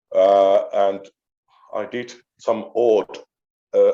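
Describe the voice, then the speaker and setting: A man with a Finnish accent, at a very slow pace. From Finland. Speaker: metal musician. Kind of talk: interview. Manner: halting.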